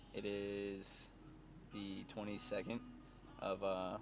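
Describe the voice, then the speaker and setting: Audible room echo around a man's voice, fairly low in pitch. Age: 20s. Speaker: fitness vlogger. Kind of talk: casual vlog. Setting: gym. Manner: many fillers (uh).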